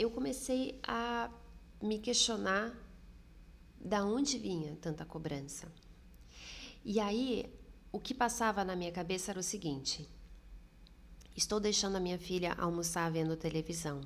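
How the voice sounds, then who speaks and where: Her intonation is lively and her pitch medium as this woman speaks fairly slowly. Long pauses come often. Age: 30s. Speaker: podcast host. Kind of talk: solo podcast monologue.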